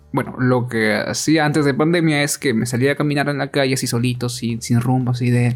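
Fairly even intonation and a fairly quick pace mark this ordinary speaking voice. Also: man. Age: 20s. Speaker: podcast co-host. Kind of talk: casual chat. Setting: at home.

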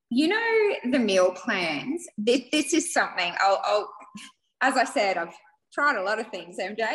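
A woman in an Australian accent speaks at a fairly slow pace. Her fairly high pitch moves in very wide swings. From Australia, Queensland (Rockhampton). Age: 40s. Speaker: small business owner. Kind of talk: interview.

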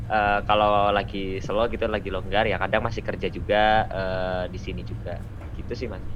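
A man speaks at a moderate pace in a fairly low pitch, with audible room echo. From Central Java (Magelang). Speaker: university student, volunteer. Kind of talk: casual podcast interview.

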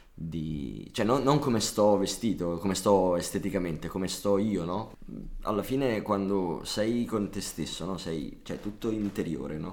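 A man with a strong Neapolitan accent speaks at a fairly slow pace in a fairly low pitch. His pitch variation is ordinary. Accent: marked Neapolitan, deliberately kept. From Naples, raised in Brescia area. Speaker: guest musician, drummer. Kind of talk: casual chat.

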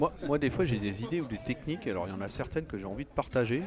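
A man talks at a very fast pace with very wide pitch swings. Noticeable background noise can be heard. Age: young. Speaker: plumber. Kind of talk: casual chat. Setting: trade show.

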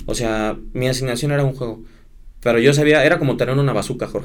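The pace is fairly quick, with a Mexican accent. Room echo is audible. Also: man. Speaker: sports broadcaster. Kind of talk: casual chat.

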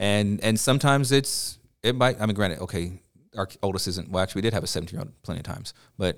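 Speaking at a very fast pace, a man uses ordinary pitch variation. The recording is very clean and the background silent. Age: 30s. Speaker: teacher. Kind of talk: casual chat.

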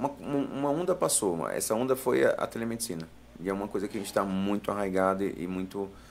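This man, using an ordinary speaking voice, moves along at a fairly quick pace and shows ordinary pitch variation. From Brazil, Piauí (Floriano). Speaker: urologist. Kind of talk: live podcast interview. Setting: studio.

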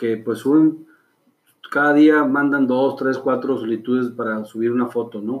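A man at medium pitch, fairly slow in pace and fairly even in intonation. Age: 40s. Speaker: clothing brand founder. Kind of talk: interview. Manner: halting.

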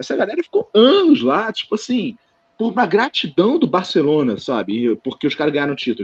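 A man talks at a fairly quick pace in a high voice with very wide pitch swings. The sound is dry and close, with no echo. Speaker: football podcast co-host. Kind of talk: casual chat.

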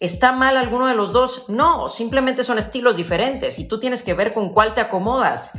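A woman with a Mexican accent talks at a fairly quick pace in a high pitch, her tone animated, her pitch variation ordinary, and hardly any pauses breaking the flow over noticeable background noise. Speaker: fitness podcast co-host. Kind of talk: casual chat.

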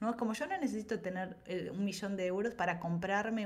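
A woman at a fairly quick pace, an unremarkable speaking voice. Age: 40s. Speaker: creativity coach and ceramicist. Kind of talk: casual interview chat.

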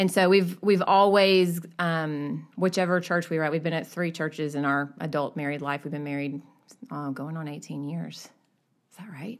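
Very deep and low, a woman's voice with an American accent moves at a moderate pace with ordinary pitch variation and big swings in loudness, recorded very cleanly against a silent background. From US South. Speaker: church member. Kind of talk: casual chat.

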